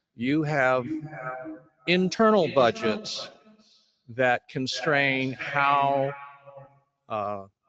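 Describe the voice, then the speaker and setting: With music in the background, a man speaks at a very slow pace with long, frequent pauses, his fairly high voice carrying lively intonation. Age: 70s. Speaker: family member of service participant. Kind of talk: public comment at listening session. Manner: halting.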